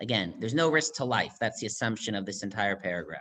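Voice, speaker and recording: A man talks with vocal fry. His pitch swings very widely. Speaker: rabbi. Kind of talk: lecture. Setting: video call. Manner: fast.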